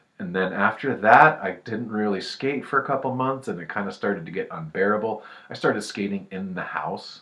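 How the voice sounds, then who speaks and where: A man's fairly low voice in a relaxed tone, fairly quick with hardly any pauses and ordinary pitch variation. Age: 30s. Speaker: skateboarder. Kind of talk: casual talk to camera. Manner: relaxed, hesitant.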